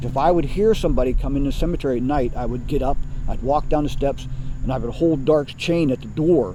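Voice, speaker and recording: At a very fast pace, a man speaks in a fairly high pitch with ordinary pitch variation amid noticeable background noise. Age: 60s. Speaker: cemetery superintendent. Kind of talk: interview.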